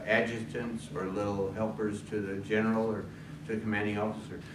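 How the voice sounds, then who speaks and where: Against noticeable background noise and audible room echo, a man with a fairly low pitch speaks at a moderate pace. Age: 70s. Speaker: retired pastor and civil war reenactor. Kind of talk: talk at a club meeting. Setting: club meeting with audience.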